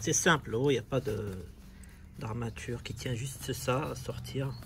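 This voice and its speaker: A man speaks fairly slowly, his pitch varying in an ordinary way, with noticeable noise in the background. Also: medium pitch for a man. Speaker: car DIY youtuber. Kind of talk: tutorial. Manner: casual, hesitant with repeats.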